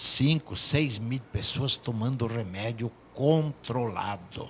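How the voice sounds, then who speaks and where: Very slowly, a man speaks in a somewhat breathy voice. His intonation stays lively. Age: 70s. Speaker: doctor. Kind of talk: talk show discussion.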